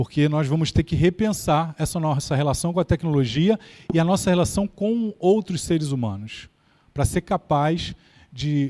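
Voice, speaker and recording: A man's fairly high voice with a dark, mellow tone and a Carioca accent, at a moderate pace, in a very clean recording with a silent background and a dry, close sound with no echo. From Brazil, Rio de Janeiro. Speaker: keynote speaker on AI. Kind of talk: lecture.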